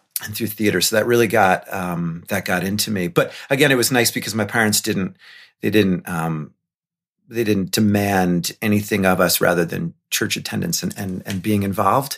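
In a very clean recording with a silent background, a man speaks at a moderate pace in an ordinary speaking voice, fairly low in pitch with ordinary pitch variation. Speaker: middle school performing arts teacher. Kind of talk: casual interview chat.

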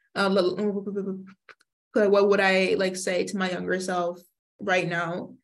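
A woman talks at a very slow pace with an American accent. Her intonation is monotone and flat. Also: medium pitch for a woman. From Northeast Philadelphia, US. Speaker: university student. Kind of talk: interview. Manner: stutters.

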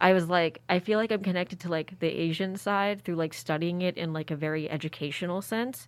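In a very clean recording with a silent background, a woman with a normal speaking voice talks fairly quickly at a fairly low pitch, her intonation fairly even. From Philadelphia, US. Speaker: university student. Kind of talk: casual chat.

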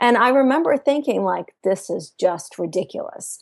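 A woman speaks at a moderate pace, her voice showing vocal fry. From Russia. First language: Russian. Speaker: entrepreneur. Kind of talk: interview. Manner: animated.

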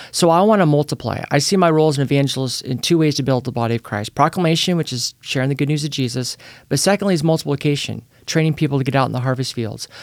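An energetic man with an American accent talks at a very fast pace and ordinary pitch variation. The recording is very clean, with a silent background. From Northern California (Petaluma). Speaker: evangelist. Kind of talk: podcast interview.

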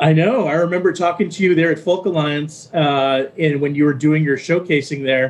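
A man speaks in a normal speaking voice at fairly high pitch, with ordinary pitch variation and very even loudness. His pace is moderate with hardly any pauses. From Texas. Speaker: radio DJ. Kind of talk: casual interview.

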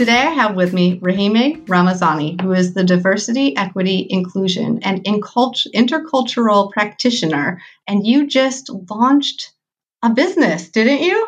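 A woman's somewhat breathy, medium-pitched voice with a Midwestern American accent, moderate in pace, with lively intonation and very even loudness. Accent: Midwestern American, nasal. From US Midwest. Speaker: podcast host. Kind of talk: interview conversation.

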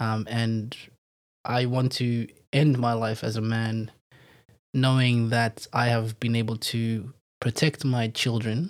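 A man's medium-pitched voice, monotone and flat, at a very slow pace in a very clean recording with a silent background. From Zimbabwe, Harare. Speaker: businessman. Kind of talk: casual interview.

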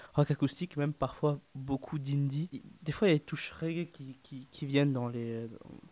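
A man's dark, mellow voice at a fairly high pitch, fairly even in intonation and moderate in pace, with big swings in loudness and a dry, close sound with no echo. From northern France. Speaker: drummer, student. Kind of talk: radio interview. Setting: studio.

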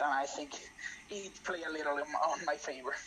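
Moderate pace in a Spanish accent, over noticeable background noise. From Spain. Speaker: law student and writer. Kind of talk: casual interview. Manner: halting, many repetitions.

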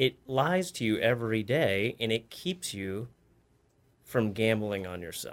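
In a very clean recording with a silent background, a man with an ordinary speaking voice talks at a medium pitch with ordinary pitch variation. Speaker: coach. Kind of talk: casual interview chat.

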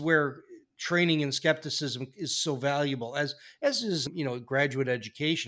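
A man with an ordinary speaking voice and fairly high pitch talks at a moderate pace in a very clean recording with a silent background. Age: 50s. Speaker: podcast host. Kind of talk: casual interview.

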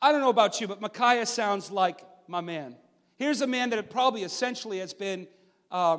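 Natural-voiced reading aloud

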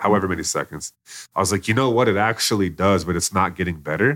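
Very fast and bright, sharp in tone, a man with a Texan accent speaks at a fairly low pitch with ordinary pitch variation in a very clean recording with a silent background. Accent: Texan American. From Texas, Plano. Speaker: author and network marketer. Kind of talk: interview. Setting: studio.

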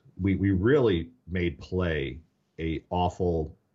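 A man's very deep, low voice with vocal fry and an American accent, over a quiet background. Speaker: education technology executive, former teacher. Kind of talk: podcast interview.

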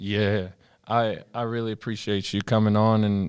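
On a very clean recording with a silent background, a man talks at a moderate pace in a fairly low voice. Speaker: podcast host. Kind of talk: casual chat. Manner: animated.

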